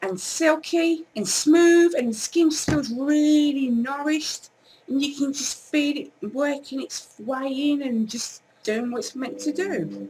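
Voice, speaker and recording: A woman with an English accent speaks at a very slow pace. Her high-pitched voice has lively intonation. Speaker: beauty vlogger. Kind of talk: casual product review vlog. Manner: loud.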